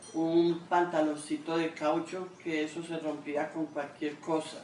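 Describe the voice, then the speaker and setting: A woman speaks amid audible room echo and noticeable background noise. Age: 70s. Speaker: grandmother interviewee. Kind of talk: interview testimony. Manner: halting.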